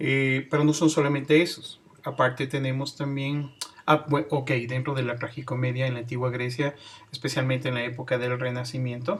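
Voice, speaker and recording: At a moderate pace, a man speaks in a monotone, flat intonation at a medium pitch, with noticeable background noise. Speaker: teacher. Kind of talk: lecture.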